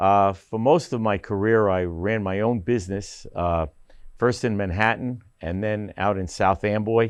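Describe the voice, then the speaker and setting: A man's fairly low voice with a New Jersey accent and fairly even intonation, against a quiet background. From northern New Jersey (Paramus). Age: 70s. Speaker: council candidate, retired business owner. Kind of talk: candidate interview. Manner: halting, many fillers.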